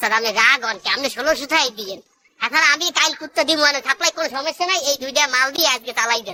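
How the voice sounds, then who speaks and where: A cartoonish character voice, pitched high. It moves at a fairly quick pace. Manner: wheedling, colloquial.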